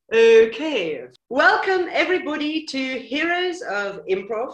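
Very wide pitch swings stand out in audible room echo with a quiet background. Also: woman. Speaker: improviser, teacher, show host. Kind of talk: show host introduction. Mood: playful, laughing. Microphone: video call.

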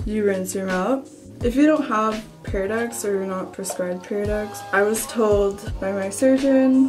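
With music clearly audible behind her, a woman talks at a fairly slow pace. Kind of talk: casual vlog chat. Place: bathroom. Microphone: phone near.

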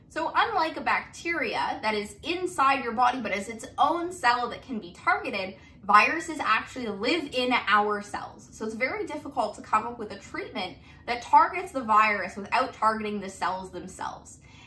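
With hardly any pauses, a woman talks at a moderate pace in a high pitch, her voice making very wide pitch swings and big swings in loudness. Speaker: biology tutor. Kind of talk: lecture. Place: home room. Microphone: camera far.

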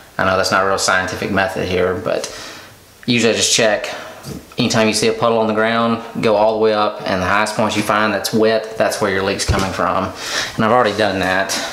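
Amid light background noise and audible room echo, a man talks at a fairly quick pace in a fairly low voice, with monotone, flat intonation and very even loudness. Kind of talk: tutorial. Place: bathroom. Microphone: phone near.

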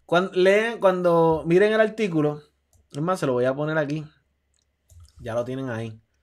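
A man's fairly high voice at a moderate pace, lively intonation and long, frequent pauses, against a quiet background. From Puerto Rico. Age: 40s. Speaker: athletic recruiting advisor and show host; show host. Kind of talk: live stream talk show. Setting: home room, live stream. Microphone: webcam.

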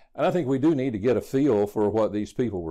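The background is quiet. A man is speaking. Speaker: bible teacher. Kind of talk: lecture. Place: studio. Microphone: lapel.

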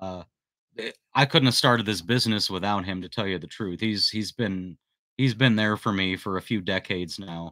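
In a quiet background with a dry sound and no echo, a man speaks with a bright, sharp tone at a fairly low pitch. His pace is moderate, his pitch varies in an ordinary way, and his loudness swings widely. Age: 40s. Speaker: handyman business youtuber. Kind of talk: live stream chat. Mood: warm, reflective. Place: home room. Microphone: studio mic.

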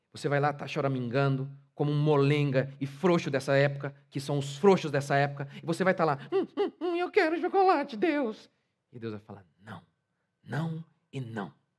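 Against a quiet background, a man with a fairly high pitch speaks at a moderate pace, with ordinary pitch variation and big swings in loudness. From Brazil. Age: 40s. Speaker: pastor. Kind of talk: sermon. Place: church. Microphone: headset.

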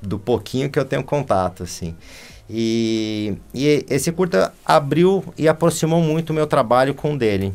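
Very wide pitch swings from a man, with faint music in the background. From Brazil. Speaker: animation film director; interview guest. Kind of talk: interview conversation. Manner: halting. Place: studio.

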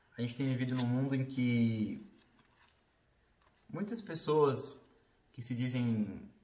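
A man speaks at a fairly slow pace with fairly even intonation. Audible room echo surrounds his voice. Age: 30s. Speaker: vlogger; bodybuilder. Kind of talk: casual talk to camera. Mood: earnest, reflective. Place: home room. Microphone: phone near.

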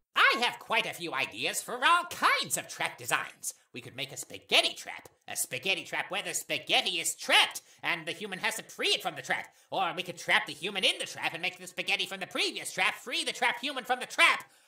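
A put-on character voice at a middle pitch rolls along at a fairly quick pace. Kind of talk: comic overacting. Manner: enthusiastic, earnest, goofy.

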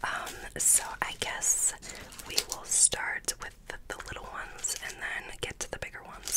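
A soft-spoken woman talks at a fairly slow pace. Loud background noise runs underneath. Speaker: ASMR creator. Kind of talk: soft-spoken ASMR chat. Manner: soft close-mic ASMR voice. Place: home room. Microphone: studio mic.

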